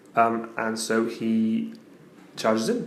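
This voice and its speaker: Speaking quietly, a man uses a medium pitch. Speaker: tabletop wargaming battle report presenter. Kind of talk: casual battle report narration. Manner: quiet, subdued.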